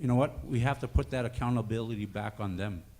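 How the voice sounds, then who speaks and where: In a room with audible echo, a man of medium pitch speaks at a moderate pace with ordinary pitch variation. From Northern Ontario First Nation. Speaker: First Nations health worker. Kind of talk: conference speech.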